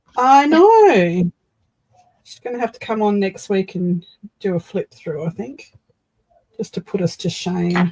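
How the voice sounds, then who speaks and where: A woman with an Australian accent speaks at a medium pitch in a dark, mellow, somewhat breathy voice with lively intonation and big swings in loudness. Her pace is fairly slow with long, frequent pauses, and the sound is dry and close with no echo. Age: 60s. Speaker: craft streamer. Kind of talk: casual chat. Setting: live stream.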